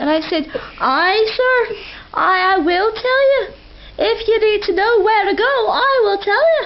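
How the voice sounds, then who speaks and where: A woman puts on a squeaky character voice at an extremely high pitch, with lively intonation and very even loudness. She speaks at a moderate pace with long, frequent pauses over light background noise. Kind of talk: comic put-on accent. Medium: solo performance. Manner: rambling, meandering.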